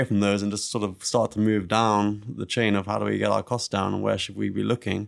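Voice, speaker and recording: A man with a British accent talks at a fairly quick pace. His fairly low voice stays monotone and flat. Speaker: bitcoin mining company executive. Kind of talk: casual chat.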